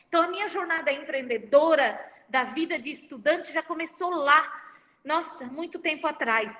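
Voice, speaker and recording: The woman speaks at a moderate pace. Her pitch varies in an ordinary way. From Santa Catarina, Brazil. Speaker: university professor and speaker. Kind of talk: online lecture. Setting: video livestream with chat.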